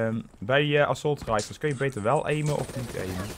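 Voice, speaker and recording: Over music in the background, a man speaks with lively intonation at a fairly high pitch. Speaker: gaming YouTuber. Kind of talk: gameplay commentary. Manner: casual, filler-heavy. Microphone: headset.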